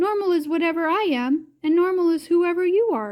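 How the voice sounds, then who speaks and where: A woman's squeaky, put-on character voice at an extremely high pitch and a fairly quick pace. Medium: read story.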